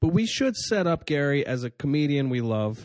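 Here is a man with a fairly high pitch and an ordinary speaking voice, talking at a moderate pace with ordinary pitch variation. The background is quiet, and the sound is dry and close with no echo. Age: 30s. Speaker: comedian and podcast host. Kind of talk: casual chat. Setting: studio.

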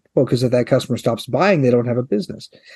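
A man's medium-pitched voice with a Midwestern American accent. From US Midwest, eastern Nebraska. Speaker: head of a crop promotion organization. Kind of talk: interview.

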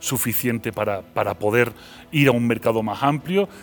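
In an Andalusian accent, a man talks at a fairly quick pace. His pitch is medium with ordinary variation, and there is noticeable background noise. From Seville, Spain. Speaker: philosopher. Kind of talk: interview.

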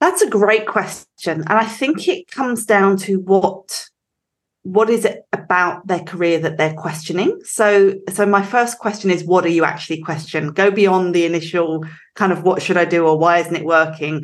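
Pitch varies in an ordinary way while the delivery keeps a moderate speed. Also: woman, medium pitch for a woman. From England. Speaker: recruitment company director. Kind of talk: interview conversation.

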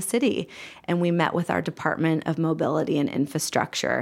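A woman with an American accent speaks in a plain, everyday voice at a fairly low pitch. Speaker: community aging program director. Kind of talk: interview.

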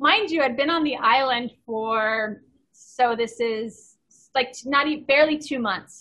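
A woman speaks in a raised, projected voice at a fairly slow pace, her pitch high with ordinary variation. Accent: American. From Southern California. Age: 40s. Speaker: endurance athlete and coach. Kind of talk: casual interview.

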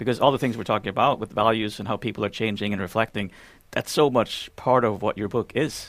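This man has an ordinary speaking voice at a medium pitch, with ordinary pitch variation. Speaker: podcast co-host. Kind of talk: casual interview chat.

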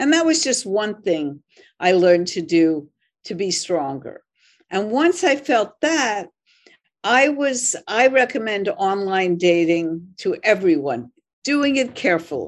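A woman with an American accent at a fairly slow pace, her pitch swinging very widely, over a quiet background. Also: medium pitch for a woman. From Philadelphia, US. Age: 70s. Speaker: journalist and author. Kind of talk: interview.

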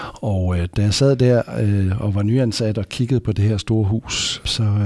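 In a very clean recording with a silent background and a dry, close sound without echo, a man speaks at a fairly slow pace in a fairly low, dark, mellow voice with fairly even intonation. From West Jutland, Denmark. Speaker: anaesthesiology professor. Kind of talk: expert interview. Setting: hospital conference room.

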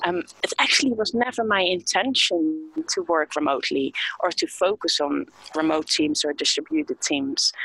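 Over noticeable background noise, a woman at medium pitch speaks at a moderate pace with very wide pitch swings and very even loudness, the sound dry and close with no echo. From Netherlands. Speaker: HR entrepreneur. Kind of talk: interview. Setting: remote call. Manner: halting.

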